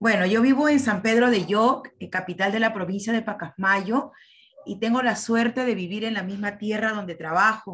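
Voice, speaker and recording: A woman speaks in an unremarkable speaking voice. Her pitch is fairly high, with ordinary pitch variation and a moderate pace. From Peru. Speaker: teacher participant. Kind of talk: presentation. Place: home room. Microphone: video call.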